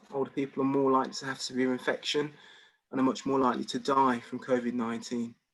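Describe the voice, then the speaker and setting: This is a man with a Birmingham accent. His pitch is fairly high. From England, Birmingham. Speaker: doctor. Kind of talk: presentation. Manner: halting, many repeated words.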